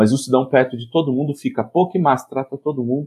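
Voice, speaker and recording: This is a man speaking with a São Paulo interior accent. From São Paulo state, Piracicaba. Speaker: education professor and comics researcher. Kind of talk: casual interview chat.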